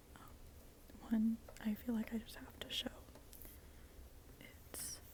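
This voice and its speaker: Someone is whispering. Noticeable background noise can be heard behind it. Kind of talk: ASMR tarot show and tell, casual talk to camera. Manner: soft-spoken, whispered, up close.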